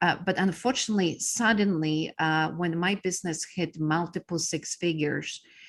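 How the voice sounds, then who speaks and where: A woman with a Polish accent speaks at a fairly low pitch and a fairly slow pace, with fairly even intonation. The recording is very clean, with a silent background. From Poland. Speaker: business coach. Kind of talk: interview. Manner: halting with many fillers.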